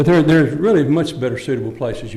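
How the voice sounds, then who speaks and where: With a Texan accent, the voice is somewhat breathy and dark, mellow in tone, with ordinary pitch variation. It moves at a very fast pace, with audible room echo. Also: man. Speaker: resident and former council member. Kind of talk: public comment at council meeting. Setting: city council chamber. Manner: halting, repeats words.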